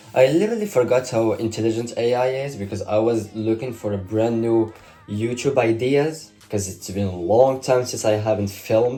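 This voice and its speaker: Music plays in the background as a man speaks at a moderate pace and medium pitch, his intonation fairly even. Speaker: vlogger. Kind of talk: casual vlog.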